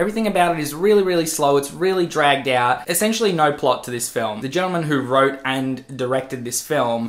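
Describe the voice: A man at a fairly quick pace with few pauses, fairly high pitch, fairly bright tone and ordinary pitch variation.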